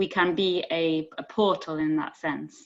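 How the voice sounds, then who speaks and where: A woman speaks with a Yorkshire accent. Her intonation stays fairly even. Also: quiet background. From northern England, Sheffield. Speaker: poet. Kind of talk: panel discussion. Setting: video call. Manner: halting.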